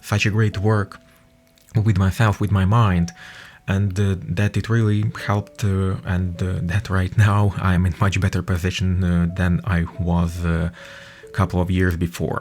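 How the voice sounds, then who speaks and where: Speaking in a Russian accent, a man with a very deep, low pitch keeps a fairly slow pace and fairly even intonation. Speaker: podcaster. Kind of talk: personal testimony. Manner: halting, many fillers.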